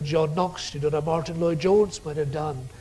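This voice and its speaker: A man speaks with a Scottish Highland accent. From Scottish Highlands/Islands, Gaelic-speaking. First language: Scottish Gaelic. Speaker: theology professor. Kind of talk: lecture. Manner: forceful preaching style.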